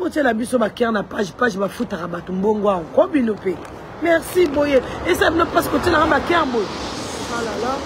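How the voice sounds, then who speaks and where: A woman's voice with very wide pitch swings amid noticeable background noise. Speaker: fish seller livestreamer. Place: street. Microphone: phone near.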